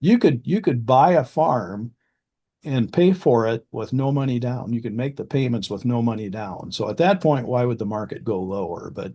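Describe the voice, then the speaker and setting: A man with a Midwestern US accent, dark and mellow in tone, lively in intonation, at a moderate pace against a quiet background. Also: medium pitch for a man. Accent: US Midwest. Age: 60s. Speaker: farmland specialist. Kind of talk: casual interview.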